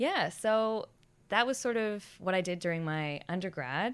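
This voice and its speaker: A woman with an American accent, ordinary pitch variation and a moderate pace, in a very clean recording with a silent background. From US, Boston. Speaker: science policy officer, former marine biologist. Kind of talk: casual interview.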